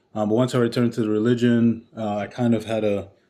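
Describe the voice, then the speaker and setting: With a New York accent, a man speaks at a fairly quick pace. The background is quiet. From Brooklyn, New York. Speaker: author and academic director. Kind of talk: podcast interview. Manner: hesitant, many fillers.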